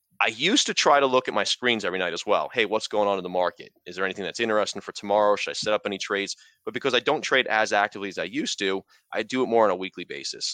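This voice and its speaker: Bright and sharp in tone, a man's fairly low voice rushes along at a very fast pace. His pitch varies in an ordinary way, and the sound is dry and close with no echo. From New York. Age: 40s. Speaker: part-time stock trader and blogger. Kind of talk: casual interview.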